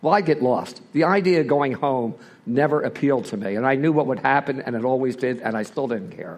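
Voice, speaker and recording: Using a normal speaking voice, this man moves at a fairly quick pace. Medium in pitch, his speech shows ordinary variation. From Philadelphia, US. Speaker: recovering alcoholic speaker. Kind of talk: personal testimony.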